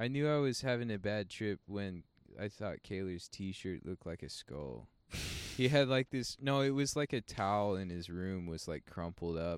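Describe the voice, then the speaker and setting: In a very clean recording with a silent background and a dry, close sound with no echo, a man with a normal speaking voice speaks at a moderate pace, fairly low in pitch and with lively intonation. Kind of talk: casual chat. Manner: casual, profane.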